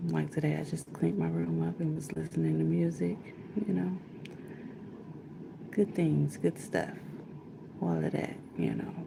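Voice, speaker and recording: Quiet and at a moderate pace, a woman speaks with long, frequent pauses. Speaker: livestreamer, vlogger. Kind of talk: casual livestream chat. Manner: talking low, quiet.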